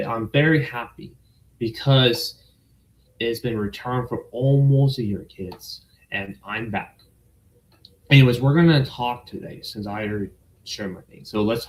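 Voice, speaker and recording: A somewhat breathy man with an American accent speaks at a moderate pace, with big swings in loudness and long, frequent pauses. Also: medium pitch for a man, ordinary pitch variation. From United States. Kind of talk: casual livestream talk to camera.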